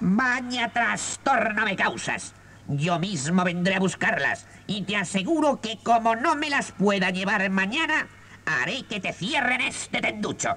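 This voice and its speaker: A gruff, raised, projected male voice, high in pitch with lively intonation, at a fairly slow pace against clear background noise. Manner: gruff, threatening.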